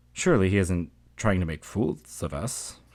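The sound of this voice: Putting on a character voice, a man speaks low in pitch with big pitch swings and a slightly mellow tone. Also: moderate pace.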